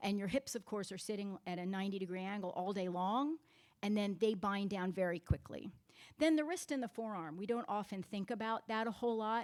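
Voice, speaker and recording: A woman's medium-pitched voice at a fairly quick pace, with ordinary pitch variation, on a very clean recording with a silent background. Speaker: physical therapist. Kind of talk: workshop presentation. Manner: loud.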